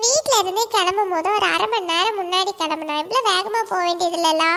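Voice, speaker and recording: Someone in a cartoonish character voice speaks at a moderate pace over clear background noise. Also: woman, extremely high pitch for a woman. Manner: teasing, quick-tempered.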